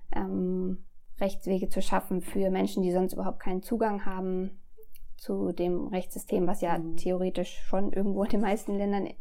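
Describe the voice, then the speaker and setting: At a moderate pace, a woman talks in a medium pitch with a dark, mellow tone and fairly even intonation. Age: 40s. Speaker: fair fashion employee. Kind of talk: interview.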